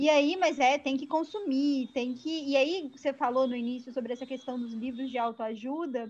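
Her pitch is high, with ordinary pitch variation. The woman keeps a moderate pace with hardly any pauses. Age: 20s. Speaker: podcast host, psychology student. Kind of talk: casual chat.

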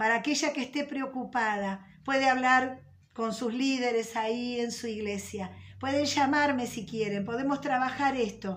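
In a room with audible echo, a woman speaks at a fairly slow pace in a warm tone. Her pitch is high and her intonation fairly even. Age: 50s. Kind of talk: religious teaching. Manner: warm, conversational.

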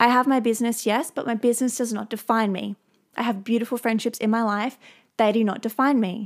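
An unremarkable speaking voice with fairly even intonation and a fairly quick pace, on a very clean recording with a silent background. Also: woman, fairly high pitch for a woman. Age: 20s. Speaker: podcast host. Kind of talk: solo podcast monologue.

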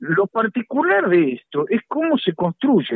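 A man talks at a fairly slow pace in a high pitch. His voice makes very wide pitch swings. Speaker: law professor and lawyer. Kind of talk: radio interview. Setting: remote connection.

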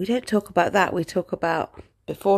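A woman talks at a fairly quick pace with lively intonation. The recording is very clean, with a silent background and a dry, close sound with no echo. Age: 30s. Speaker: life coach podcaster. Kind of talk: casual monologue. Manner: hesitant, many fillers; laughs often.

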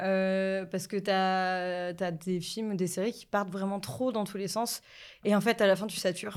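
A woman talks at a fairly slow pace in a plain, everyday voice, her pitch medium and her intonation fairly even. The recording is very clean, with a silent background. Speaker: podcast guest, film fan. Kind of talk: casual chat.

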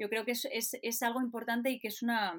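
The woman speaks at a moderate pace. The recording is very clean with a silent background. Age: 40s. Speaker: photojournalist. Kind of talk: interview. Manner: halting.

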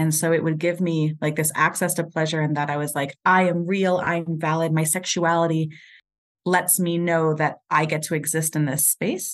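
Against a quiet background, the speaker uses a monotone, flat intonation at a moderate pace with a New York accent. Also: woman, fairly low pitch for a woman. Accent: New York American. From New York (Puerto Rican). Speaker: sex coach and educator. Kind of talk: casual interview chat.

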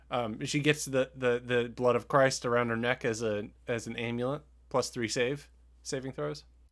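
On a very clean recording with a silent background, a plain, everyday voice moves at a moderate pace with ordinary pitch variation. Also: man, medium pitch for a man. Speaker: podcast host. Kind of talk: casual chat, movie review podcast.

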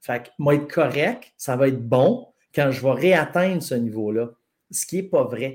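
A normal speaking voice comes through with lively intonation at a fairly slow pace. The recording is very clean, with a silent background. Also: man. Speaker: strength coach. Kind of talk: casual chat.

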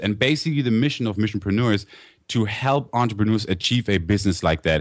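With a German accent, a man speaks at a medium pitch in an enthusiastic tone. His intonation is lively and his pace very fast. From Germany. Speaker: internet entrepreneur. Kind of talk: interview. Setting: studio.

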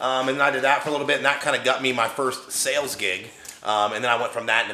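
A man with an American accent talks at a very fast pace and medium pitch with fairly even intonation, amid noticeable background noise and audible room echo. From West Virginia, Wheeling. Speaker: bodybuilder and real estate investor. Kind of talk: casual interview chat. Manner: hesitant, filler-heavy.

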